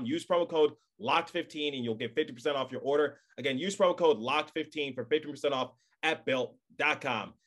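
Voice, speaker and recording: An unremarkable speaking voice, this man's fairly high pitch shows ordinary pitch variation at a fairly quick pace. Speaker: podcast host. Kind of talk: podcast sponsor live read.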